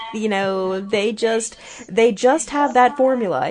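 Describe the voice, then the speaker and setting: A woman's fairly high pitch comes through noticeable background noise. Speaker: film podcast co-host. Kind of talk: casual chat. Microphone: poor audio quality.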